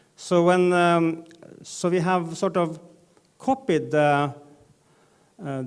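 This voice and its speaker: A man with a Norwegian accent talks at a very slow pace, his pitch high for a man and varying in an ordinary way. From Northern Norway. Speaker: data journalism editor, panelist. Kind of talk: conference panel presentation. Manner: halting, many fillers.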